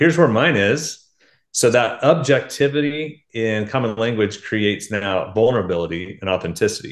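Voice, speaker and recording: Against a quiet background, a man with an American accent uses a plain, everyday voice at medium pitch, moderate pace and lively intonation. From Oklahoma. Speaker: author and leadership speaker. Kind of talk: casual interview.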